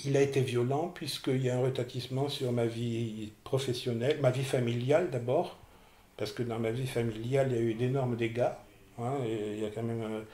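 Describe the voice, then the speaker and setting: Somewhat breathy with a dark, mellow tone, a man talks at a medium pitch and a moderate pace with fairly even intonation, and audible room echo surrounds him. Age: 60s. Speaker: person with OCD giving testimony. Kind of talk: testimony interview. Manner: hesitant, repeating words.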